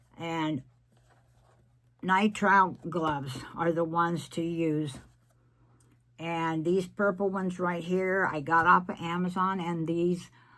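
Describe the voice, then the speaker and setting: A woman's fairly low voice at a very slow pace, broken by long, frequent pauses. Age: 70s. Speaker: resin crafter. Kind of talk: casual tutorial vlog. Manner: chatty, meandering.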